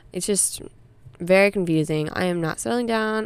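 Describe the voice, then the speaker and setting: A normal speaking voice from a woman, medium in pitch, fairly quick, with ordinary pitch variation. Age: young. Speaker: podcast host, college student. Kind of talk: casual solo chat. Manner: many fillers.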